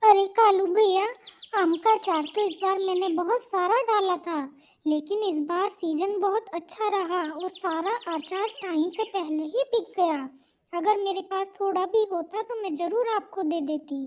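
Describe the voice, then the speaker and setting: A woman does a cartoonish character voice pitched extremely high. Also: moderate pace. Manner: chatty, friendly.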